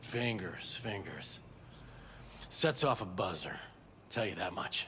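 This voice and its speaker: Using a put-on character voice, a raspy man of medium pitch speaks at a fairly slow pace over clear background noise. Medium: video game. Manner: cagey, slippery.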